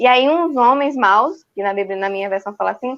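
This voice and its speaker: Her voice high in pitch, a woman with a northeastern Brazilian accent speaks with ordinary pitch variation. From Northeast Brazil, João Pessoa. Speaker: church youth and children's worker. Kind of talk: casual chat.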